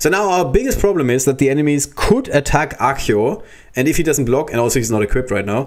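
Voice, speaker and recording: Talking very fast with lively intonation, a man uses a fairly high voice with a slight German accent. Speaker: gaming streamer. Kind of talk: live gameplay commentary. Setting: livestream. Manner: casual, thinking aloud.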